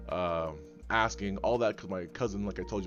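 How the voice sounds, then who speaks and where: Music plays in the background as a man talks at a very fast pace. His voice is very deep and low, with lively intonation. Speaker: podcast host. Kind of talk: casual chat. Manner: halting.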